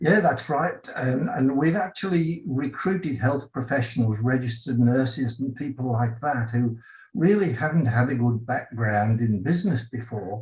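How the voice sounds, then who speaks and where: A man speaks in an English accent with lively intonation. His voice is somewhat breathy, with hardly any pauses. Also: medium pitch for a man, moderate pace. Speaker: franchise business owner. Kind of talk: award acceptance interview.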